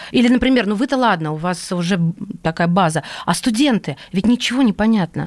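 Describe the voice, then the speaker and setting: A woman talks in a normal speaking voice at a medium pitch, with lively intonation. Her loudness stays very even and her pace is fairly quick. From Russia, Kursk. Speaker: radio host. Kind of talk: radio interview.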